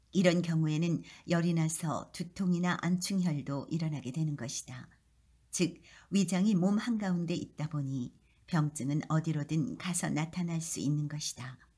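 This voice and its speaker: A woman speaks in a somewhat breathy, dark and mellow voice, fairly low in pitch with ordinary variation, at a fairly slow pace. The recording is very clean with a silent background. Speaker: KBS voice actor. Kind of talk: audiobook-style reading of an essay.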